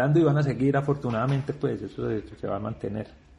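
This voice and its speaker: A man talks at a very fast pace with a fairly high pitch. His voice is somewhat breathy and has ordinary pitch variation. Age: 40s. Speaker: rock festival curator and musician. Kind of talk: interview.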